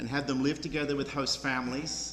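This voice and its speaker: A man with an Australian accent, with audible room echo and noticeable background noise. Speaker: program director. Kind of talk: public speech. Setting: church with audience.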